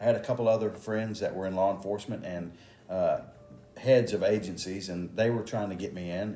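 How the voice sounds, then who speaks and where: Over music in the background, a man with an American accent talks at a fairly quick pace, his fairly low voice held to fairly even intonation. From Texas, Houston area. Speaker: police officer and election candidate. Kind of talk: interview. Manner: halting, many fillers.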